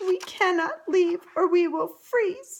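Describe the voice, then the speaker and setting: Someone uses a put-on character voice and moves at a fairly slow pace. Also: woman. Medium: read story.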